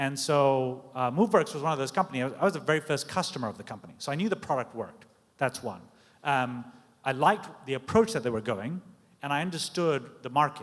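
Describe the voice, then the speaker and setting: Someone with a British accent talks at a very fast pace. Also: man, fairly high pitch for a man, lively intonation. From Britain. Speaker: tech executive. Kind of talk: panel discussion.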